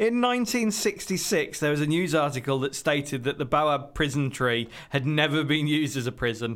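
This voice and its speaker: This man has a fairly high pitch and a moderate pace with hardly any pauses. The recording is very clean, with a silent background. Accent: British. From Britain. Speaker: podcast co-host. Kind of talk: reading aloud.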